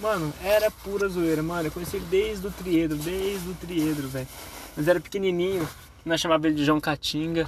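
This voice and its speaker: A man talks at a fairly quick pace with fairly even intonation. Noticeable background noise is present. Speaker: vlogger. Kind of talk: personal tribute monologue. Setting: in a car. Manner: loud.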